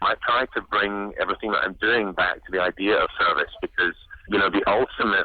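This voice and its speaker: A man talks fairly quickly, with noticeable background noise present. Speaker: musical theatre actor and singer. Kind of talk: interview answer. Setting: phone line. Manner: upbeat.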